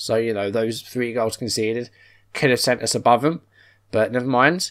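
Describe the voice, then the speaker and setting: A man speaks with an English accent at a moderate pace. The background is quiet. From England. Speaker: football manager game youtuber. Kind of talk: gameplay commentary. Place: home room.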